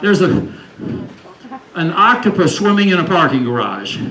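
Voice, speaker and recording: Someone with an American accent speaks at a moderate pace with very wide pitch swings, amid audible room echo and noticeable background noise. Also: man. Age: 70s. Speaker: climate educator. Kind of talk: lecture.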